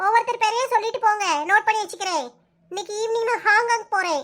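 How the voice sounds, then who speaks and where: A woman puts on a squeaky, cartoonish character voice, extremely high in pitch with ordinary pitch variation, and speaks at a fairly quick pace. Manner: airy, evasive.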